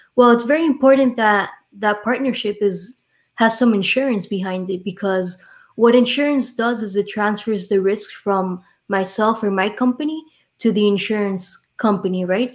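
A woman speaks with a Miami accent. Her pitch is fairly high. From Miami, Florida. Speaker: insurance and retirement planning professional. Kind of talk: casual interview chat. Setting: live online show.

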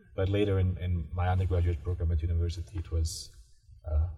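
A man with a very deep, low pitch talks fairly quickly, his intonation fairly even. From Bosnia. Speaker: graduate student. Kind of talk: interview. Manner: halting.

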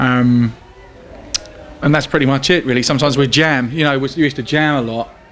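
There is noticeable background noise as a man of medium pitch speaks at a fairly quick pace. He leaves long, frequent pauses, and his intonation stays fairly even. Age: 30s. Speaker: blues guitarist and bandleader. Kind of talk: casual interview.

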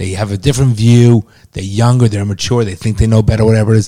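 The speaker is a man. He has a dark, mellow tone. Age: 50s. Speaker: podcast host, father of co-host. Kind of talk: casual banter and opinion talk.

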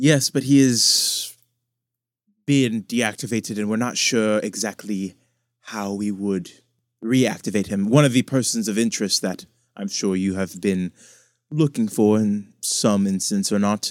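A man talks in a plain, everyday voice at a fairly slow pace and fairly low pitch, with ordinary pitch variation in a very clean recording with a silent background. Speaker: dungeon master. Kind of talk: tabletop roleplaying game session with character voices.

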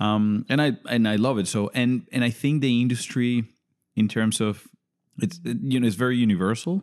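Spoken with a Spanish accent at a moderate pace, the voice keeps a very even loudness and shows ordinary pitch variation. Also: man, medium pitch for a man. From Venezuela. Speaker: podcast guest. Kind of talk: casual chat.

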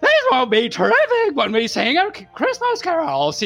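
At a moderate pace, someone talks in a high-pitched, put-on character voice. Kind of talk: comic overacting. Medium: read story. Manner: earnest, grandiose, excitable.

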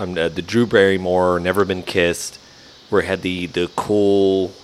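A man's very deep, low voice with a slight Southern US accent, monotone and flat, over noticeable background noise. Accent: Southern drawl, slight. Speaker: barbecue podcast co-host. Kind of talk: casual chat.

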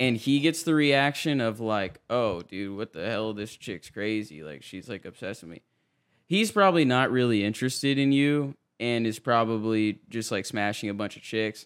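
A man with an ordinary speaking voice talks at a moderate pace and medium pitch. His intonation is lively, his loudness swings widely, and the recording is very clean with a silent background. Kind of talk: casual chat.

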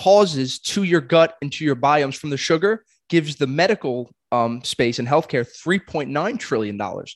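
A man's fairly high voice, an unremarkable speaking voice, at a fairly quick pace, dry and close with no echo over a quiet background. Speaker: podcast host. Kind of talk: casual chat.

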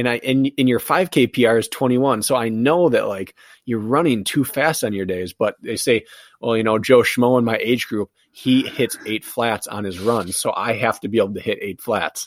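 In a very clean recording with a silent background and a dry, close sound with no echo, a man speaks in an unremarkable speaking voice at medium pitch and a moderate pace, with ordinary pitch variation. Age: 30s. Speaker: professional obstacle course racer and endurance coach. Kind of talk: casual interview chat. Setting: studio.

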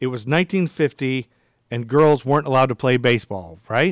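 In a normal speaking voice of medium pitch, a man talks at a moderate pace with a dry, close sound and no echo. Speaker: podcast host. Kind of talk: interview.

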